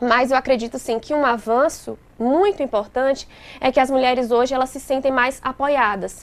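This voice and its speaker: This woman talks at a moderate pace with a high pitch and fairly even intonation. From interior of Bahia, Brazil. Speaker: lawyer. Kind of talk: interview.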